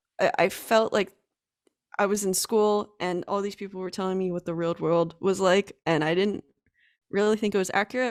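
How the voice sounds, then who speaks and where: In a very clean recording with a silent background, a woman with an American accent and a normal speaking voice talks at a fairly quick pace, her medium pitch held in fairly even intonation. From US, Allentown, Pennsylvania. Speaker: web designer and podcaster. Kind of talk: podcast interview.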